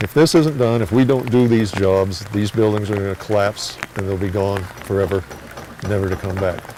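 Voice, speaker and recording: Noticeable background noise sits behind speech that has ordinary pitch variation and a moderate pace. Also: man. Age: 70s. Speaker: volunteer. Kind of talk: interview.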